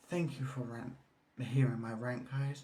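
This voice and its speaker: A man whispering, with audible room echo. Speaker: vlogger. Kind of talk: casual vlog rant. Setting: at home on balcony.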